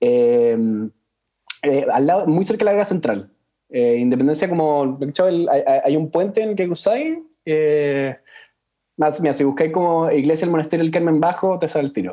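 A man with a Chilean accent, fairly high in pitch, dark and mellow in tone, with ordinary pitch variation, very even loudness, a moderate pace, and long, frequent pauses. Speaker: podcast host. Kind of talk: interview.

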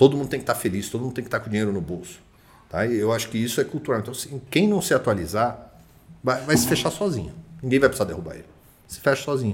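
Speaking very fast at a medium pitch, a man sounds somewhat breathy, with lively intonation. His loudness swings widely, and his pauses are long and frequent. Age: 30s. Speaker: real estate agency director. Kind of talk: casual chat.

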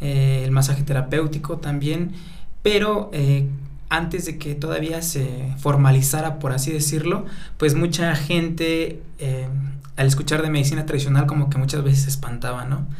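A fairly high-pitched man amid noticeable background noise and audible room echo. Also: fairly even intonation, moderate pace. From Mexico, Atlacomulco, State of Mexico (Mazahua community). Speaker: intercultural health practitioner. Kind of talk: radio interview.

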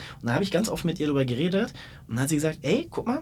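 The talking moves at a very fast pace. The recording is very clean with a silent background. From Berlin. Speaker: podcast host. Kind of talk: casual interview.

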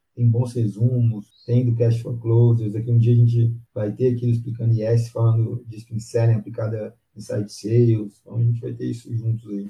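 A man's medium-pitched, dark and mellow voice, somewhat breathy and flat in intonation, at a moderate pace with hardly any pauses. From Brazil, Minas Gerais (Pará de Minas). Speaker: sales development lead. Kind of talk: casual interview.

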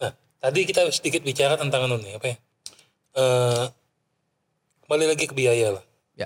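A somewhat breathy man speaks at a fairly quick pace and medium pitch with ordinary pitch variation and long, frequent pauses, in a dry, close sound with no echo. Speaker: show host. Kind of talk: casual chat. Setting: studio.

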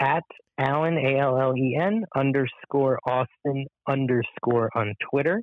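Using an ordinary speaking voice, a man talks at a fairly slow pace in a fairly high pitch, with ordinary pitch variation and very even loudness. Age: 30s. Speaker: pop culture commentator. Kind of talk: casual chat.

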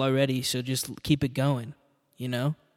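An American accent, a normal speaking voice, and a moderate pace. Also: man, dry, close sound with no echo. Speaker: podcast host. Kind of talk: casual solo monologue. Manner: rambling, profane.

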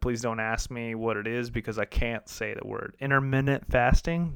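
In an American accent, a man with an ordinary speaking voice talks at medium pitch and a moderate pace with fairly even intonation, on a very clean recording with a silent background. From US Midwest, downstate Illinois. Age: 30s. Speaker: podcast host. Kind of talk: casual solo monologue.

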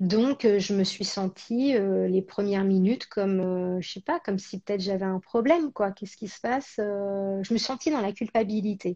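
A woman's medium-pitched voice, dark and mellow in tone, with ordinary pitch variation, hardly any pauses, a dry, close sound with no echo, and a quiet background. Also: moderate pace. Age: 30s. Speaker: actress and presenter. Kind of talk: casual interview chat. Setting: live stream.

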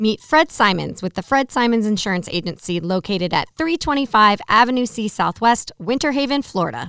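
On a very clean recording with a silent background and a dry, close sound with no echo, a woman with a plain, everyday voice speaks fairly quickly at a fairly high pitch with lively intonation. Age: 30s. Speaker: podcast host, chamber of commerce. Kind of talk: interview; sponsor read. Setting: studio.

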